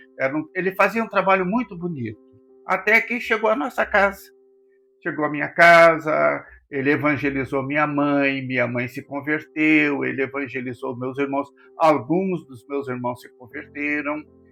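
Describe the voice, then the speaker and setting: Over music in the background, a man with a fairly high pitch talks at a moderate pace with lively intonation. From southern Brazil, Rio Grande do Sul. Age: 80s+. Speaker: pastor. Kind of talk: interview. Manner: halting.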